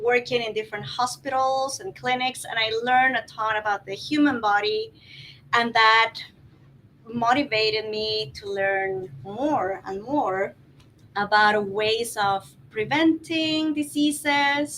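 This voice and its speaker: A woman with a Guatemalan accent talks very slowly in a fairly high pitch. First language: Spanish. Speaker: life coach. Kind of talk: panel discussion. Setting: filmed in wellness center.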